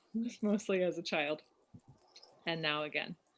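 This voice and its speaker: This woman has a fairly low pitch and fairly even intonation, speaking at a moderate pace. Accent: American. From US West Coast, Oakland. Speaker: climate activist and musician. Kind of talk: presentation. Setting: video call.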